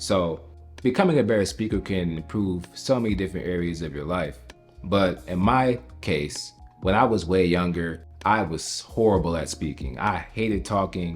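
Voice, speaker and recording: A man with an American accent, very deep and low-pitched, with lively intonation at a moderate pace over background music. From United States, Jamaican household. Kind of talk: casual talk to camera.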